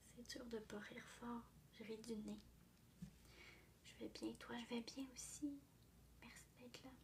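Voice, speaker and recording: A soft-spoken woman whispers at a very slow pace. Long, frequent pauses break up her speech. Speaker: ASMR artist. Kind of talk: ASMR livestream chat. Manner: whispered, soft-spoken.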